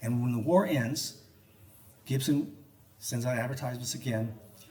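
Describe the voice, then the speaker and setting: There is audible room echo as a man speaks at a medium pitch with ordinary pitch variation. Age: 70s. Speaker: researcher and lecturer on guitar history. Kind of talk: public talk to a live audience. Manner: animated, joking.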